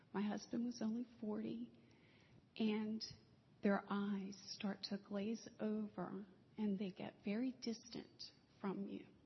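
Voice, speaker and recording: At a very slow pace with long, frequent pauses, a woman with medium pitch speaks in a somewhat breathy voice and fairly even intonation. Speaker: widow giving testimony. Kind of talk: testimony.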